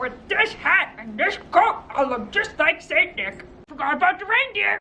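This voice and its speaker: In a put-on character voice, the speaker growls at an extremely high pitch with very wide pitch swings, moving at a moderate pace. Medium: read story. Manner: sneering, snarling.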